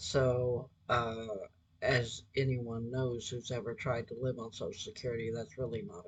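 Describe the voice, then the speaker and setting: A man talks with a medium pitch and ordinary pitch variation. His voice comes across somewhat breathy. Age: 60s. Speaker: resume writer and recruiter. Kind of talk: casual monologue appeal. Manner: halting, many fillers.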